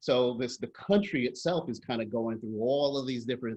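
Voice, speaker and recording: A man's medium-pitched voice in an American accent, with ordinary pitch variation. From New York. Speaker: workshop facilitator, nonprofit strategy consultant. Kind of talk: workshop presentation. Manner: fast.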